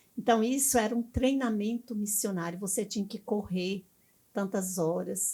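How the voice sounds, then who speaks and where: Somewhat breathy and dark, mellow in tone, a woman speaks at medium pitch and a fairly slow pace with ordinary pitch variation. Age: 70s. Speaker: missionary pastor. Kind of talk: interview.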